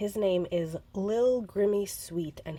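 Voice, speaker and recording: A woman's voice carries a dark, mellow tone, somewhat breathy, and its pitch varies in an ordinary way. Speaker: papercrafting video creator. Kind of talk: crafting tutorial. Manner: casual with filler words.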